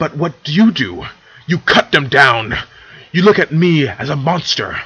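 Putting on a character voice, a man speaks at a fairly slow pace with a fairly high pitch, big pitch swings, a bright, sharp tone and a slightly husky edge.

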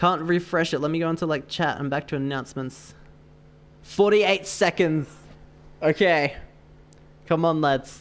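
A man at a fairly high pitch and fairly slow pace, with fairly even intonation and long, frequent pauses. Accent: Australian. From Australia. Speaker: gaming streamer. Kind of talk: live gameplay stream chat. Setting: online voice chat during live stream. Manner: chatty, laughs often.

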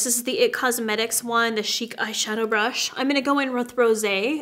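Moderate-paced speech with ordinary pitch variation and faint music in the background. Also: woman. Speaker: makeup artist host. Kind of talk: tutorial. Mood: warm, friendly. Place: home room.

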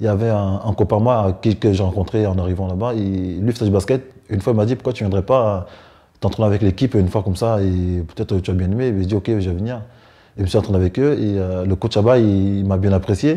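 A man's fairly low, dark, mellow voice against a quiet background. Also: fairly even intonation. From Cameroon. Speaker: professional basketball player. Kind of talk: interview. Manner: halting. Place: home room.

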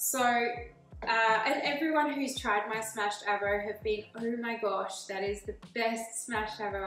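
A woman at a fairly slow pace with ordinary pitch variation, light background noise and audible room echo. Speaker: presenter. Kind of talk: casual cooking tutorial intro. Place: kitchen. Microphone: camera far.

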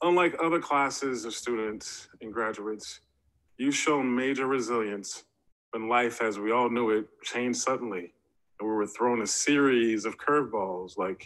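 A man's speech moves at a moderate pace, and his pitch varies in an ordinary way. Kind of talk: formal ceremonial speech. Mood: earnest, solemn. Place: home room. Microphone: webcam.

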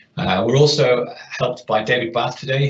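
Audible room echo surrounds a man as he speaks. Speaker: webinar host. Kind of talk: webinar introduction.

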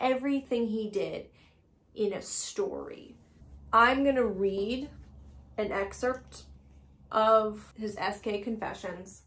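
The speech comes at a very slow pace, broken by long, frequent pauses. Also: woman. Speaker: true crime podcaster; true crime storyteller. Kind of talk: casual comedic monologue, stoned. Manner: animated, laughing, profane. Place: home room.

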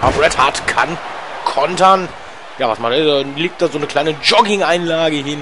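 This man has a fairly high pitch and takes long, frequent pauses. Noticeable background noise can be heard. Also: ordinary pitch variation, moderate pace. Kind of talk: live sports commentary. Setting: gaming video voiceover. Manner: chatty, casual asides mixed with commentary.

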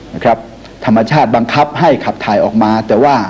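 A man's medium-pitched voice with lively intonation amid noticeable background noise. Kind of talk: product commercial pitch, medicine advertisement narration. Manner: polite, chatty salesman address to audience.

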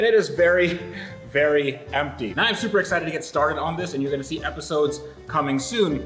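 Against clear music in the background, a man talks very fast with ordinary pitch variation. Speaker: video host. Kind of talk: casual vlog chat, sponsor read. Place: home room.

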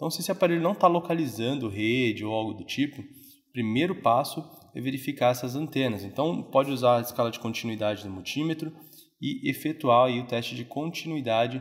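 A man speaks at a fairly quick pace in a medium pitch. His pitch variation is ordinary. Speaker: phone repair technician. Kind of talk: tutorial. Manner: casual, filler-heavy.

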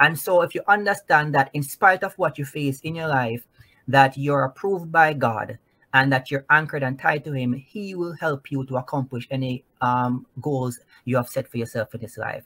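A man talks at a moderate pace in a fairly high pitch. His tone is bright and sharp, with ordinary pitch variation. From Jamaica (Clarendon); Jamaica. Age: 30s. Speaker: Navy veteran and author; interview guest. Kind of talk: testimony. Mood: earnest, faith-filled. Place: home room.

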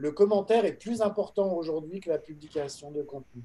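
A man's dark, mellow voice at a moderate pace with ordinary pitch variation. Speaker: entrepreneur; conference panelist. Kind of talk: panel discussion. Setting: video call. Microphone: video call.

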